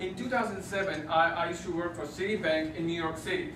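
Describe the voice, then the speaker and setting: A man's high pitch at a fairly quick pace, amid audible room echo and noticeable background noise. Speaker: Toastmasters club member giving a speech. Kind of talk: prepared speech to a club audience. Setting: club meeting with live audience. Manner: fast.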